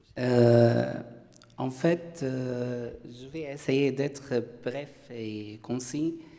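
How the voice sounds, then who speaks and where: A man at a medium pitch, with audible room echo. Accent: Arabic. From Syria. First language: Arabic (speaking French). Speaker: philosopher, panelist. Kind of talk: conference talk. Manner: halting, frequent hesitations.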